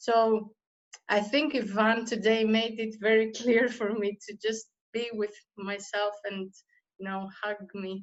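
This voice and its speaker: A woman speaks with a Greek accent at a fairly high pitch. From Greece. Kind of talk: casual chat.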